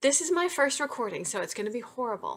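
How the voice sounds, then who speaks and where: A woman's voice comes across bright and sharp, with lively intonation. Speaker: romance novelist. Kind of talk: reading aloud; casual chat. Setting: home webcam recording. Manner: fast.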